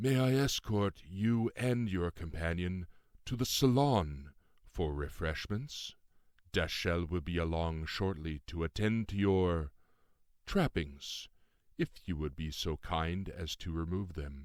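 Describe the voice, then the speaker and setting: Drawling in a put-on character voice, a man speaks with a very deep, low pitch. His pace is fairly slow and his intonation lively. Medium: read story. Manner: drawling, carefully enunciated, formal.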